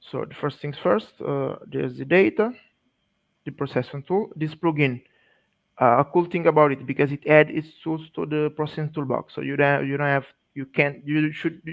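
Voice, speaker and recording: The speaker has a non-native accent and a moderate pace. Pitch varies in an ordinary way, while loudness swings widely. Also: man, fairly high pitch for a man. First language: not English. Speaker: GIS specialist presenter. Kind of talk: technical presentation. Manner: halting.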